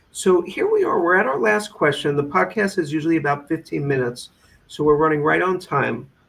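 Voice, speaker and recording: With an American accent, a man speaks at a fairly quick pace in a fairly high pitch, his intonation lively over noticeable background noise. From New York. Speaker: podcast host. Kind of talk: interview.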